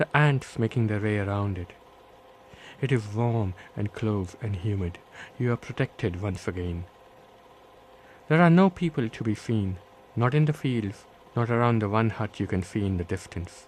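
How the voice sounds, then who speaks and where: With a Bombay accent, a man speaks at a moderate pace with lively intonation and long, frequent pauses. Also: fairly low pitch for a man. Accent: Bombay Indian accent, kept. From India, Bombay. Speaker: author. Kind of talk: reading aloud.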